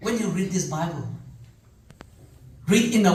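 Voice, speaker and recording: Audible room echo colors the recording. There is also noticeable background noise. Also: man. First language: Zeme. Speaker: preacher. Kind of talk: sermon.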